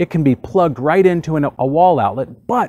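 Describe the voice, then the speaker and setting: Speaking at a moderate pace with an American accent, a man uses a fairly high pitch and a dark, mellow tone. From Texas. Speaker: hot tub video host. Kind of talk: tutorial. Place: garden. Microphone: lapel.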